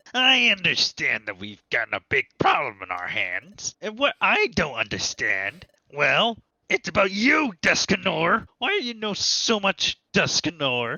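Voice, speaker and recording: Someone puts on a character voice at a middle pitch, speaking at a fairly slow pace. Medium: machinima. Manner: excitable, blunt.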